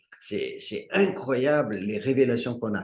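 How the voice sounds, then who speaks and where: A man speaks in a dark, mellow tone with lively intonation. Audible room echo surrounds his voice. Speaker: bible study teacher. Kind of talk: bible study teaching.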